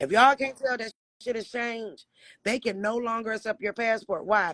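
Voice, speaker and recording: The voice is animated in tone and moves at a fairly quick pace. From Detroit, Michigan. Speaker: livestreamer. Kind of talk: casual chat.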